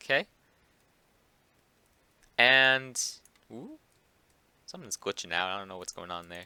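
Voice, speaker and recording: A man's voice has a bright, sharp tone. The sound is dry and close, with no echo. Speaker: Minecraft command block tutorial maker. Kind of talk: casual game tutorial narration. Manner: hesitant, many filler words.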